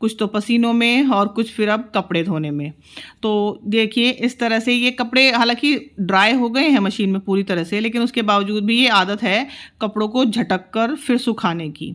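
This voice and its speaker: The recording is very clean, with a silent background. It carries a normal speaking voice with ordinary pitch variation. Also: woman. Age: 40s. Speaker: homemaker vlogger. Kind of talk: vlog narration. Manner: casual, conversational.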